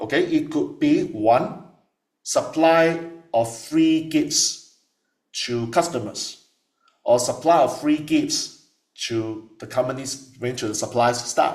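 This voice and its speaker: The speech moves at a very slow pace with long, frequent pauses. Audible room echo is present. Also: man. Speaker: tax lecturer. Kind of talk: lecture.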